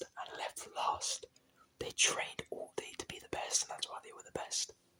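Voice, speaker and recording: Relaxed whispering over noticeable background noise. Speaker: ASMR creator. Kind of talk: ASMR whispered talk to camera, late-night rambling. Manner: whispered, soft-spoken, relaxed.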